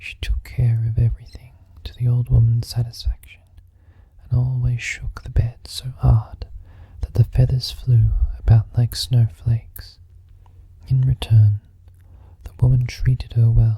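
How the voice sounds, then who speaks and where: Soft-spoken, the voice leaves long, frequent pauses. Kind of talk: audiobook-style storybook reading.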